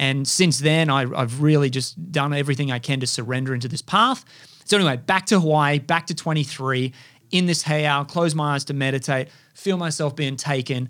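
Speaking quickly in an animated tone, a man with an Australian accent has a fairly high pitch and ordinary pitch variation in a very clean recording with a silent background. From Australia, far north Queensland. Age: 30s. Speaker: podcast host. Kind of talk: monologue.

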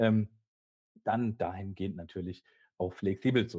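The man's tone is dark and mellow, and he keeps to a moderate pace. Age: 40s. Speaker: IT executive. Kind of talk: casual expert interview.

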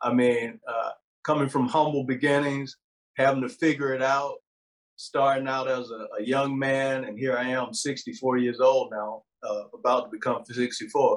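In an ordinary speaking voice, a man speaks at a fairly slow pace with medium pitch and fairly even intonation. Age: 60s. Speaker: university information security chief, army veteran. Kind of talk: interview conversation.

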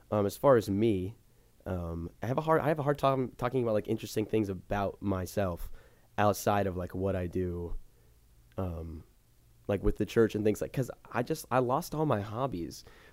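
Here is a man with an American accent and an ordinary speaking voice, pitched fairly low. He talks at a fairly quick pace with lively intonation on a very clean recording with a silent background. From Florida. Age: young. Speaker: social media content creator. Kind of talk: casual chat.

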